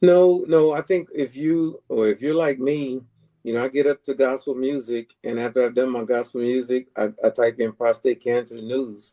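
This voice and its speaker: With an American accent, a man talks at a medium pitch with ordinary variation and a dark, mellow tone, in a dry, close sound with no echo. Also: moderate pace. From Texas. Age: 60s. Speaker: prostate cancer advocate. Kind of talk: podcast interview.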